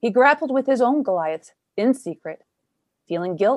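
With a Canadian accent, a woman uses an ordinary speaking voice with lively intonation at a moderate pace, in a dry, close sound with no echo. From Canada. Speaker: podcast host. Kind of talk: scripted narration; interview conversation.

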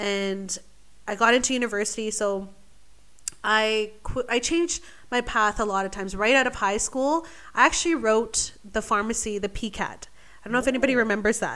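In a Canadian accent, a woman talks at a moderate pace in a normal speaking voice, fairly high in pitch with ordinary pitch variation, on a very clean recording with a silent background. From Vancouver, British Columbia, Canada. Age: 20s. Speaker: medical student. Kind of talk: casual chat.

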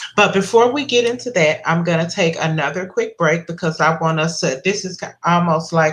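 A woman talks at a moderate pace in a normal speaking voice. Her pitch is fairly low with ordinary variation. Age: 50s. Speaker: podcast host. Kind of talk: interview.

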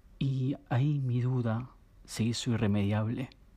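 Calm in tone, a man speaks with a Rioplatense accent at a medium pitch. His voice is somewhat breathy, dark and mellow, with monotone, flat intonation. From Argentina, Buenos Aires area. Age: 30s. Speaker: storyteller. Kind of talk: personal narrative reading. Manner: calm, intimate.

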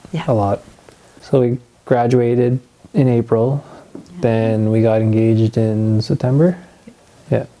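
A man at a medium pitch speaks at a fairly slow pace with ordinary pitch variation, taking long, frequent pauses over noticeable background noise. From Ontario, Canada. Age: 20s. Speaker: young father sharing faith story. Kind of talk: testimony interview.

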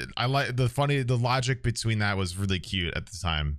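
In a very clean recording with a silent background, a man talks at a moderate pace with a bright, sharp tone and lively intonation. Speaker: podcast host and streamer. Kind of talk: casual chat.

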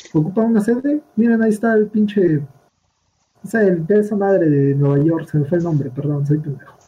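The speaker has a Mexican accent and moves at a fairly quick pace. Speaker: podcast co-host. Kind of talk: casual chat.

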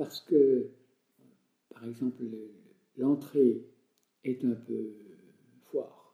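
A man talks at a very slow pace with a medium pitch. His intonation is monotone and flat, with long, frequent pauses. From France, Jura. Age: 70s. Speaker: retired country priest. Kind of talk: interview.

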